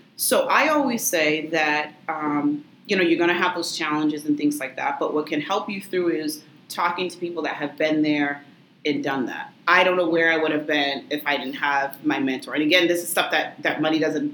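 A woman's very deep, low voice with fairly even intonation amid noticeable background noise. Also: moderate pace. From Massachusetts, Lynn (Boston area). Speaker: attorney and business owner. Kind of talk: interview.

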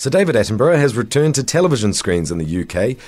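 Vocal fry runs through this man's voice, which swings very widely in pitch on a very clean recording with a silent background. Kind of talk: news reading. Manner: formal; steady, even-paced delivery.

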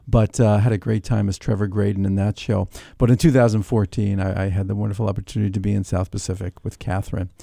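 A man with an American accent speaks at a very fast pace with hardly any pauses, his fairly low voice dark and mellow, his intonation fairly even, on a very clean recording with a silent background and a dry, close sound with no echo. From New York City (Queens). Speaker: community theater actor and singer. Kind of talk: radio interview.

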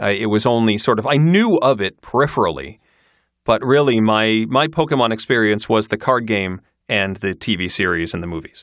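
A man with an American accent, medium pitch, and an unremarkable speaking voice, on a very clean recording with a silent background. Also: lively intonation, fairly quick pace. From Michigan, US Midwest. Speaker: podcaster and audiobook narrator. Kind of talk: casual interview.

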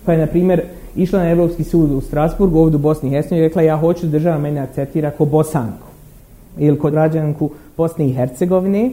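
A man speaks at a very fast pace. His fairly high voice keeps a fairly even intonation. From Bosnia and Herzegovina, Derventa. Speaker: academic lecturer. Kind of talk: lecture.

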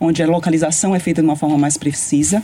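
With a dark, mellow tone, a woman's voice sounds somewhat breathy. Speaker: radiation oncologist. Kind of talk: interview.

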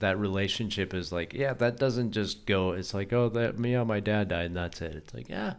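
This man has a normal speaking voice, fairly low in pitch, with ordinary pitch variation. He keeps a moderate pace with hardly any pauses. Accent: American. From US West, Colorado. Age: 30s. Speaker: podcast host. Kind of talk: casual chat.

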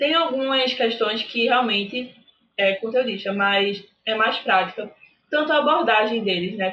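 An unremarkable speaking voice from a woman, fairly high in pitch, fairly slow, with ordinary pitch variation and very even loudness. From Recife, Pernambuco, Brazil. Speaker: university student sharing exam experience. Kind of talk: casual interview.

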